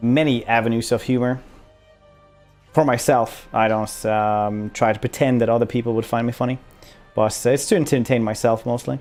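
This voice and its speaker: Music runs in the background as a man with a Swedish accent talks at a moderate pace, his medium pitch held in fairly even intonation. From Sweden. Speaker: streamer. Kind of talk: casual podcast conversation.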